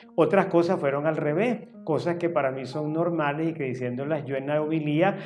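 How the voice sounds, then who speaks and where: In a room with audible echo and noticeable background noise, a man with a fairly high voice talks at a very fast pace. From Venezuela, Caracas. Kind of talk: interview monologue.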